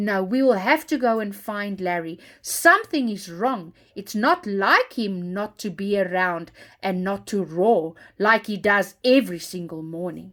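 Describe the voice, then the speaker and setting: A woman does a put-on character voice at a medium pitch and moderate pace in a very clean recording with a silent background. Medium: read story.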